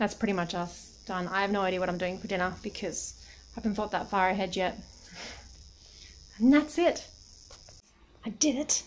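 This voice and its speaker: The speaker has an Australian accent and ordinary pitch variation. Long pauses come often. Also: woman, medium pitch for a woman, moderate pace. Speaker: travel vlogger. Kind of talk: casual vlog. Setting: holiday rental room. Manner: quiet.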